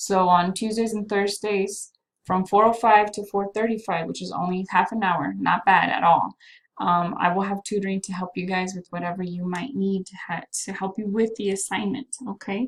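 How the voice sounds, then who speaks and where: A woman with an ordinary speaking voice, medium pitch, fairly even intonation, big swings in loudness and a moderate pace. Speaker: math teacher. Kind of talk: recorded class announcement. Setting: self-recorded video while away from class.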